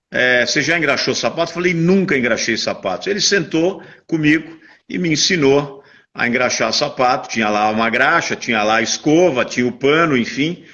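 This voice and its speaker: With a plain, everyday voice, a man talks at a moderate pace, his fairly high pitch carried by lively intonation. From Brazil, São Paulo. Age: 60s. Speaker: businessman. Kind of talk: interview.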